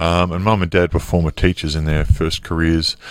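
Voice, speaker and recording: Over a silent background in a very clean recording, a man talks with a very deep, low pitch and monotone, flat intonation. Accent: Australian. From Melbourne, Australia. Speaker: former professional basketball player. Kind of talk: interview.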